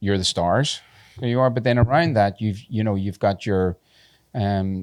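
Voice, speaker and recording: With a Northern Irish accent, a man talks at a moderate pace in a fairly low voice. The recording is very clean, with a silent background. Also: ordinary pitch variation. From Northern Ireland, Belfast. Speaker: tattoo convention organizer. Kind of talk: podcast interview. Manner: halting.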